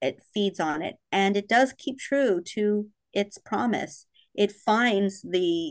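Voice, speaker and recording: With an American accent, a woman talks, and the background is quiet. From Texas, San Antonio. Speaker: horror author. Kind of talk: interview. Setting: remote call.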